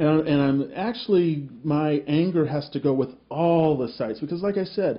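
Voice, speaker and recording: A man speaks at a fairly slow pace. His fairly high voice is somewhat breathy. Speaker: website owner and video commentator. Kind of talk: angry monologue commentary.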